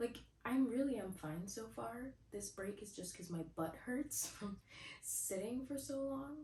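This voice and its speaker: A woman's fairly high, somewhat breathy voice, dark and mellow in tone, with lively intonation at a fairly slow pace. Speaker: booktuber. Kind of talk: casual vlog talk to camera. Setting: at home in bed. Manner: quieter, lowered voice late at night.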